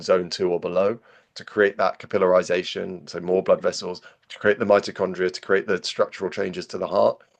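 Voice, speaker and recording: A man talks at a very fast pace with a British accent. The background is quiet. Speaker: physiologist. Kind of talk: podcast interview. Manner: repetitive stammering restarts.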